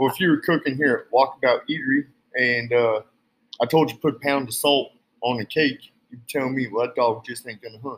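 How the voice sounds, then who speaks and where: Speaking in an American country accent, a man keeps a medium pitch and fairly even intonation at a fairly quick pace. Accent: American country twang. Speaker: cowboy co-host. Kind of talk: casual chat. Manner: laid-back, playful.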